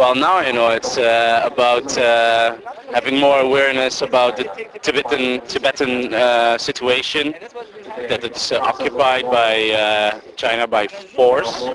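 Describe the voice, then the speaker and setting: A man with a Dutch accent speaks at a medium pitch and a fairly slow pace, his intonation fairly even. Noticeable background noise is present. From Netherlands. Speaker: exchange student. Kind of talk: street interview. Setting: outdoors. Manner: halting.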